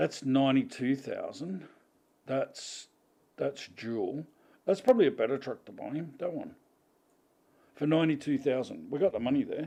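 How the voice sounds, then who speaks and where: A man with an Australian accent speaks at a moderate pace, with long, frequent pauses. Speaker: gaming streamer. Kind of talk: live stream commentary. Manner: casual, halting with restarts.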